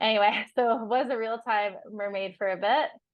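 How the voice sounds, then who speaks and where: A woman speaks in a French accent with a fairly high pitch. Her pace is moderate. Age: young. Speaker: digital nomad sailor. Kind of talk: interview conversation.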